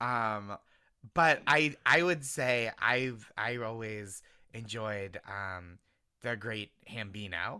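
On a very clean recording with a silent background, a man with an American accent speaks very slowly at medium pitch in a bright, sharp tone. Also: ordinary pitch variation. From Boston suburbs, US. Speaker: comedian.

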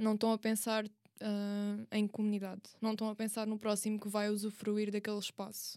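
In a European Portuguese accent, the voice has a dark, mellow tone and moves at a moderate pace with flat, monotone intonation and hardly any pauses. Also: woman, fairly high pitch for a woman. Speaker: university student. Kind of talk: casual chat.

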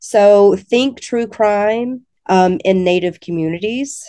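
In a quiet background, a woman speaks with ordinary pitch variation. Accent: slight Alabama. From Alabama. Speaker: English education professor. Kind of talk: casual interview.

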